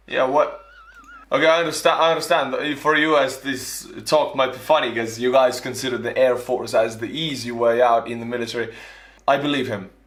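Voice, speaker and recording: A man with an Estonian accent, medium pitch, fairly even intonation, and a fairly quick pace, amid noticeable background noise and audible room echo. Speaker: YouTuber, former soldier. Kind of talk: reaction commentary.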